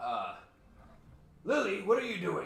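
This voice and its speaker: A man's put-on character voice, gruff and extremely high-pitched, with a slight echo. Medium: actual play. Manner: gruff, barking.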